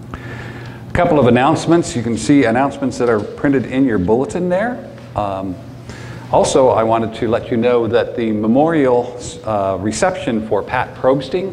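A man at a moderate pace with ordinary pitch variation over light background noise. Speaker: pastor. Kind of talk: church announcements. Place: church.

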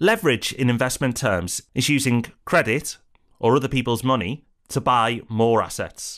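A man with a British accent, medium pitch, ordinary pitch variation and a moderate pace, on a very clean recording with a silent background. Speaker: property investment educator. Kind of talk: scripted educational presentation.

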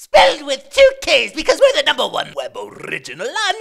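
This cartoonish character voice sits at an extremely high pitch and moves at a fairly quick pace. Its pitch swings very widely. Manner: gushing, enthusiastic.

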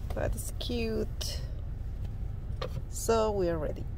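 The sound is dry with no echo, and there is light background noise. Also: woman. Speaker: lifestyle vlogger. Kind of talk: casual vlog chat. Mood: cheerful, upbeat. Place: car. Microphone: phone near.

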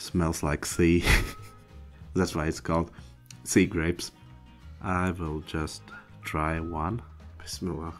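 Over faint music in the background, a man speaks very slowly in a very deep, low pitch, with fairly even intonation and long, frequent pauses. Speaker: food reviewer. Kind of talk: casual vlog chat. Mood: cheerful, playful. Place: home room. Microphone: studio mic.

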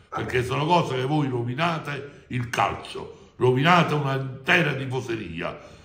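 A man speaks at a moderate pace with hardly any pauses. His pitch varies in an ordinary way, and room echo is audible. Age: 70s. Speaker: football fan club president. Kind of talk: interview. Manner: animated. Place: office. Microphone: phone near.

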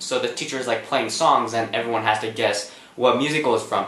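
A man talks with ordinary pitch variation, and audible room echo surrounds his voice. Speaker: vlogger. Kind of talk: casual vlog chat. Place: home room.

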